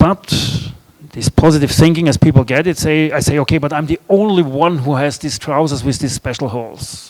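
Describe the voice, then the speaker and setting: Speaking at a moderate pace with a German accent, a man uses a fairly high pitch with ordinary variation. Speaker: author and speaker. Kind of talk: festival talk.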